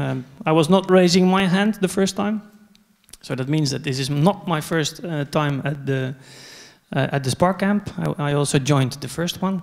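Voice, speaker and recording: With a Dutch accent, a man speaks using ordinary pitch variation. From Netherlands. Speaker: conference speaker, software company co-founder. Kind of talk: conference talk. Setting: stage with audience. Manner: hesitant, many fillers.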